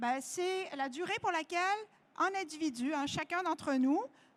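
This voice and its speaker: Her voice has an extremely high pitch and lively intonation. The woman speaks at a fairly slow pace with a slight French-Canadian accent. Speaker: nutritionist. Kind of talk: lecture. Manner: hesitant, many fillers.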